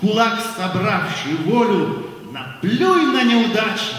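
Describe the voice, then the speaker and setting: A man speaks at a very slow pace and a high pitch. Strong room echo fills the recording. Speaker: priest. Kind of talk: poetry reading. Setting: concert. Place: stage.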